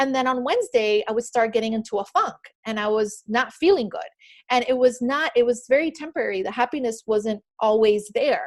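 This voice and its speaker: At a fairly quick pace, a woman with a slight Miami accent talks in a high pitch with lively intonation. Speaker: author and spiritual speaker. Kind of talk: motivational talk on a group call. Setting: group call. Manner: unscripted, with many fillers.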